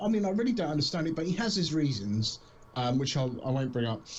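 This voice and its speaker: Speaking with a British accent, a man moves at a fairly quick pace with very wide pitch swings. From southern England, Southampton. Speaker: streamer. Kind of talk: casual chat. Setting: live stream.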